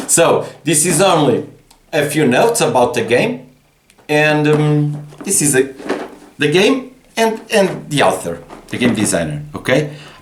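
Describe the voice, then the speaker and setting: At a fairly slow pace with long, frequent pauses, a man talks with fairly high pitch, very wide pitch swings and vocal fry. Audible room echo surrounds him. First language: Portuguese. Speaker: board game designer. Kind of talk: casual game explanation. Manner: halting, many repetitions.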